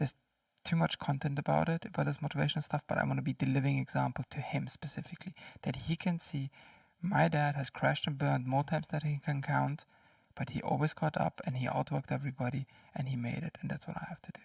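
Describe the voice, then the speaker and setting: Soft-spoken, a man talks with vocal fry and fairly even intonation. The sound is dry and close, with no echo. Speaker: indie game developer and content creator. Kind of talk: casual vlog.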